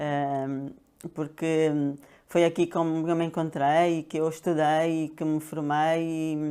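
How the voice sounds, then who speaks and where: Against a silent background on a very clean recording, a woman speaks in a very deep, low pitch with a dark, mellow tone and monotone, flat intonation. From Angola (Luanda). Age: 60s. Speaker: pharmacist and health coach. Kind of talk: interview. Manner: hesitant, many fillers.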